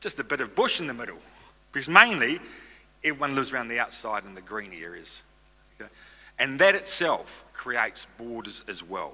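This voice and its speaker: A man with a New Zealand accent speaks at a medium pitch, in a bright, sharp tone and at a fairly quick pace. His pitch swings very widely, broken by long, frequent pauses. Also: big swings in loudness. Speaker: stem cell registry representative. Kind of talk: conference presentation. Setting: stage with audience. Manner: fast.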